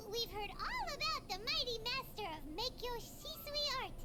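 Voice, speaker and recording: Loud background noise runs under a squeaky, put-on character voice at an extremely high pitch. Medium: game stream. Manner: hesitant, halting.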